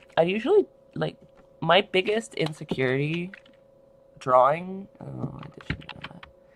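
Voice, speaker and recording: Lively intonation from a man, with noticeable background noise behind him. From Canada. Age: 30s. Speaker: artist streamer. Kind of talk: casual chat. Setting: livestream. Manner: bubbly.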